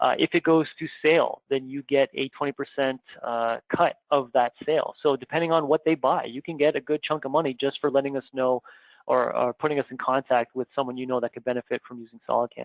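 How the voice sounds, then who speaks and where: Speaking with a Canadian accent, a man has an unremarkable speaking voice, a fairly high pitch and fairly even intonation. He goes at a fairly quick pace, his loudness swinging widely. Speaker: software trainer. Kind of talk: webinar announcements. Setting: live online webinar.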